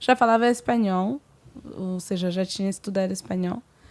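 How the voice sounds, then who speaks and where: A woman with a French accent, moderate pace and ordinary pitch variation. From Senegal and Cameroonian family, francophone. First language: French (speaking Portuguese). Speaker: singer, guest. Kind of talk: casual interview.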